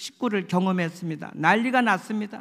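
A man's voice over a quiet background. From South Korea. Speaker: pastor. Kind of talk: sermon. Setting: church. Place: church. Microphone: podium.

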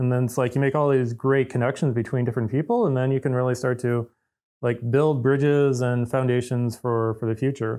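Over a quiet background, a speaker with an American accent talks at a moderate pace in a monotone, flat intonation. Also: man. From US Midwest (Detroit). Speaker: engineer hosting company podcast. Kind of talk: casual chat. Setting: office. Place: office.

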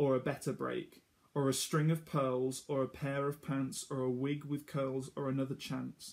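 A somewhat breathy male voice, warm in tone and fairly high-pitched, with a sing-song lilt at a moderate pace. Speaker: storytime reader for children. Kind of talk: reading a children's picture book aloud. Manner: rhythmic, sing-song rhyming cadence, running lines together breathlessly; warm, gently encouraging storyteller tone. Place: home room. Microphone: phone near.

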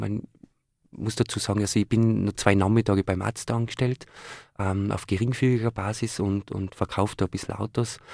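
Against a quiet background, a man talks at a moderate pace in a fairly low pitch with monotone, flat intonation, the sound dry with no echo. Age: 30s. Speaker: young entrepreneur; guest. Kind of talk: live radio interview. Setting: radio studio. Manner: hesitant with many fillers. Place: studio.

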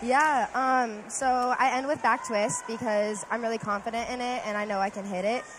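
A woman with a fairly high pitch and fairly even intonation speaks in a dry sound with no echo over noticeable background noise. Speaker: college diver. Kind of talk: post-event interview; interview answer. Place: hall. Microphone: headset.

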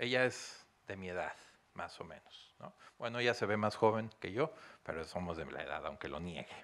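In a Mexican accent, a man speaks in an animated tone at a moderate pace. The background is quiet. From Mexico. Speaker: consultant; guest lecturer. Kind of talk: lecture. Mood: warm, joking. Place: hall.

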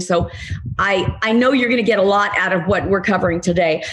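Over light background noise, a woman talks at a moderate pace, somewhat breathy, with lively intonation. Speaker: webinar host introducing a guest. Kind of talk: host introduction. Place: home room. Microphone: webcam.

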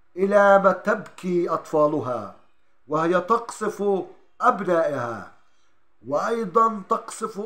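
A man speaks very slowly in a raised, projected voice. His pitch is high and his tone bright and sharp. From Palestine. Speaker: journalist. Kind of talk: poetry reading. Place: home room. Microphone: phone near.

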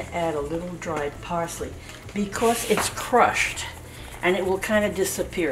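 Noticeable background noise runs under speech at a moderate pace. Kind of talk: cooking tutorial. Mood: warm, relaxed, amused. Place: kitchen. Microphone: camera far.

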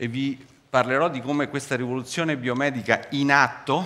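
In a Roman accent, a man speaks with a bright, sharp tone. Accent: Roman accent, stronger when speaking fast. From Rome, Italy; Italy. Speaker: cancer researcher; scientist giving public lecture. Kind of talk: public science lecture. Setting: theatre stage with audience. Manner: animated. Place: stage. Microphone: headset.

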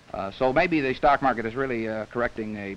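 The man's speech comes at a very fast pace, with ordinary pitch variation and light background noise. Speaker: interviewee. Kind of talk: interview answer. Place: studio. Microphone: old recording.

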